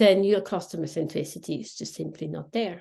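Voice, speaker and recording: A woman with a Swiss German accent, medium pitch and vocal fry, at a moderate pace with ordinary pitch variation, in a quiet background. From Switzerland (Swiss German speaker). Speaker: contact centre consultant. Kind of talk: podcast interview. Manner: animated.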